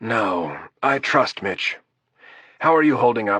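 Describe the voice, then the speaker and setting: A man puts on a raspy character voice at a medium pitch and a fairly slow pace. The sound is dry and close, with no echo. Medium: read story. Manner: even, unhurried.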